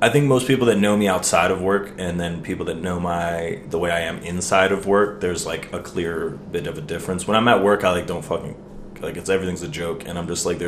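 A man's very deep, low voice with an American accent, fairly quick pace and fairly even intonation, plus noticeable background noise and audible room echo. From US, Maryland. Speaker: restaurant server and musician. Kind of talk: casual chat.

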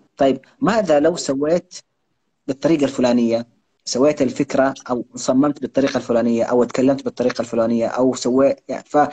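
A man speaks at medium pitch and a moderate pace with fairly even intonation. His dark, mellow tone comes through a dry, close sound with no echo. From Saudi Arabia, Jeddah (Hejaz). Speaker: content creator and author. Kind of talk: interview.

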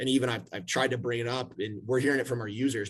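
A man talks at a very fast pace with vocal fry. His pitch varies in an ordinary way. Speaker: panelist in real estate services. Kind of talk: panel discussion. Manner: casual, filler-heavy.

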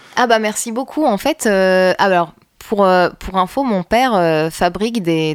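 A woman talks at a fairly slow pace with a slight northern French accent. Her medium pitch varies in an ordinary way, and the sound is dry and close with no echo. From northern France (Roubaix). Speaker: bassist and singer-songwriter. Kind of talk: casual interview chat.

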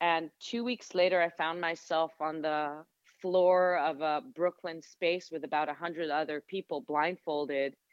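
With an Israeli accent, a woman of very deep, low pitch speaks at a fairly slow pace with ordinary pitch variation. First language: Hebrew. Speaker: sound therapist and yoga teacher. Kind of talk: interview conversation. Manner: reflective.

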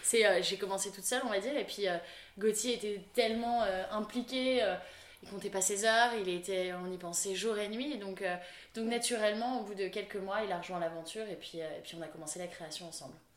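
A woman of medium pitch speaks at a moderate pace, with big swings in loudness. Audible room echo and noticeable background noise are present. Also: ordinary pitch variation. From France, Lille. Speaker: fashion brand founder and designer. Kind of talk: interview. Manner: bubbly, lively.

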